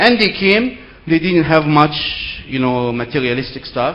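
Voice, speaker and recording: This is a man speaking. Background noise is noticeable. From Egypt. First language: Arabic. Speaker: seminar speaker. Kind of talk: lecture.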